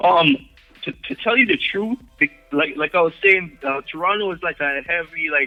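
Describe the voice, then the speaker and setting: A man with a high pitch in a strong Jamaican accent, ordinary pitch variation, and music playing in the background. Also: moderate pace. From Jamaica, Kingston. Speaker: hip-hop and reggae artist. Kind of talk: casual interview.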